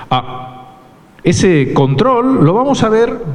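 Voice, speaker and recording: The voice shows very wide pitch swings, with audible room echo and noticeable background noise. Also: man. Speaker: university researcher. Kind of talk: lecture.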